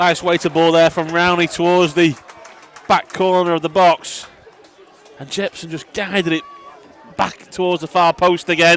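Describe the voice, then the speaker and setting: A man's high-pitched, relaxed voice in a flat monotone, at a moderate pace with long, frequent pauses, over crowd noise in the background. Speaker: co-commentator giving analysis. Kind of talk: live sports commentary, co-commentary summing up and replaying goals. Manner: measured, analytical, more relaxed.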